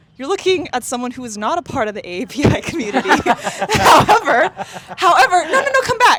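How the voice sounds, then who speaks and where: The speaker sounds excited, talking at a fairly quick pace. Noticeable background noise can be heard. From Taiwan, Taipei. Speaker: podcast host. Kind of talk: casual vlog chat with friends. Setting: outdoors at a playground by the river. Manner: voice goes up an octave, excited.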